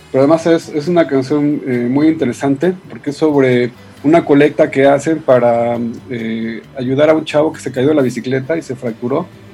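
Noticeable background noise sits behind a man with a fairly high voice. He talks at a moderate pace with fairly even intonation. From Mexico City area (Ciudad Satélite). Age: 50s. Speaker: journalist and writer. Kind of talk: radio interview. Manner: halting.

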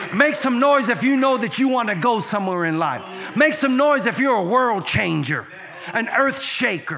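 The voice is raised and projected, with an animated tone at a moderate pace. Noticeable background noise can be heard. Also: man, extremely high pitch for a man, lively intonation. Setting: church with audience. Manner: animated, exhortative preacher's delivery with call-and-response; fervent, rhythmic repetition with stumbling restarts.

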